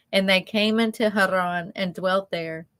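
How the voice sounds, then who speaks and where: A woman's monotone, flat intonation in a Southern US accent, on a very clean recording with a silent background. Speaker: ministry co-host, scripture reader. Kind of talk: reading aloud scripture.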